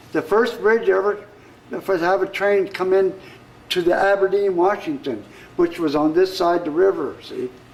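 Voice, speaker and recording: A man with an American accent speaks in a high voice with ordinary pitch variation. His pace is moderate. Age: 70s. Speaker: local historian. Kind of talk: guided tour. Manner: halting.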